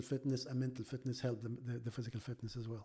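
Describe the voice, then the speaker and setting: A man with an Arabic accent speaks at a medium pitch with fairly even intonation in a very clean recording with a silent background. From Egypt. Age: 50s. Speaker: surgeon and amateur marathon runner. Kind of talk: casual interview. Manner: hesitant, with frequent repetitions.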